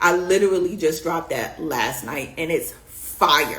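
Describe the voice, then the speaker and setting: A woman with a New York accent speaks in an animated tone at a fairly low pitch, with ordinary pitch variation. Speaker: beauty business coach. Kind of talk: live stream coaching talk. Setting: live stream. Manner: fast.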